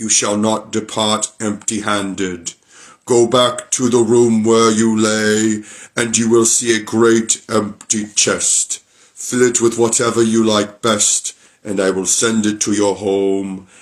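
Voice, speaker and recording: Putting on a character voice, a man of medium pitch speaks at a fairly slow pace with monotone, flat intonation. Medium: read story. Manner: blunt, gruff.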